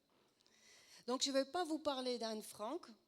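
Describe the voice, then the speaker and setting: A woman at a fairly slow pace with a slight Dutch accent. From Netherlands. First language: Dutch (speaking French). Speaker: preacher, former actress. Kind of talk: sermon.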